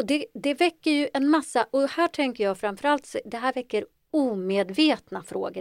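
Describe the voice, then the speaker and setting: A woman's intonation is lively, heard in a very clean recording against a silent background. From Ethiopia (adopted to Sweden). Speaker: psychologist. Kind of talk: interview.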